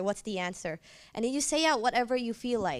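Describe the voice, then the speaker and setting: At a fairly quick pace, a woman with a fairly high pitch speaks in a very clean recording, silent background. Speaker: university student. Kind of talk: panel discussion.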